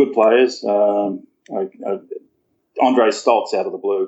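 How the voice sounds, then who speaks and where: A man speaks with an Australian accent. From rural New South Wales, Australia. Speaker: golf caddie. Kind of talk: casual interview. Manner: halting.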